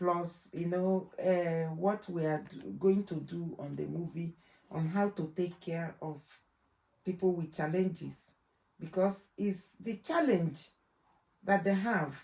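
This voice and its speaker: A woman with a Nigerian accent speaks at a very slow pace and a fairly low pitch. Her tone is dark and mellow, and her intonation stays fairly even. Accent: Nigerian accent, kept. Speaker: trainer in law and healthcare. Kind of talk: interview. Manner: loud and clear; halting.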